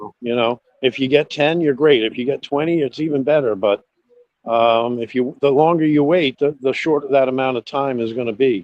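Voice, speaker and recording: A man speaks in an ordinary speaking voice at a medium pitch. His pace is moderate and his pitch variation ordinary. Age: 50s. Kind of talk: casual chat.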